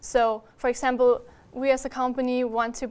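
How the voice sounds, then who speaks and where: With a German accent, a woman speaks at a high pitch in a monotone, flat intonation. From Austria. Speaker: university student. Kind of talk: webinar interview about studies. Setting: live-streamed webinar. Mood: friendly, relaxed. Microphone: lapel.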